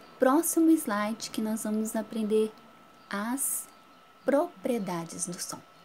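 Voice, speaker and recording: Somewhat breathy and fairly high in pitch, a woman speaks with lively intonation. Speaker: schoolteacher. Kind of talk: recorded lesson for children. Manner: whispers briefly as a demonstration.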